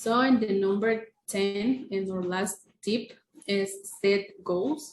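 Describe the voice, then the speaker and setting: A woman's somewhat breathy, medium-pitched voice in a Spanish accent, very slow, with ordinary pitch variation. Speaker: English language student. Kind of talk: casual podcast chat. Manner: hesitant.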